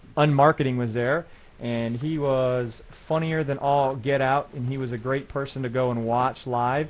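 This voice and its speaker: A man's ordinary speaking voice at medium pitch, with fairly even intonation and a fairly slow pace. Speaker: web show host. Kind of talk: casual live show chat. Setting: studio.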